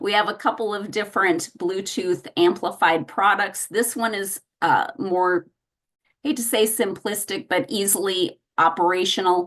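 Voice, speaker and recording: A woman speaks at a medium pitch. Her pace is fairly slow and her pitch varies in an ordinary way. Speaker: hearing loss services specialist. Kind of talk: presentation at a meeting. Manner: clear enunciation; measured, spaced words.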